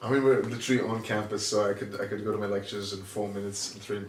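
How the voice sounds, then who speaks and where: With audible room echo around him, a man talks very fast at a fairly low pitch. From Singapore. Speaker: engineering graduate. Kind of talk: casual chat. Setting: home recording in shared flat.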